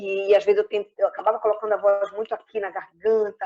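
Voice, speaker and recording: A woman speaks at a fairly quick pace. Her fairly high-pitched voice has a dark, mellow tone. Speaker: actress and clown. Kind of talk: interview. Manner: animated. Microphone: phone connection, poor internet.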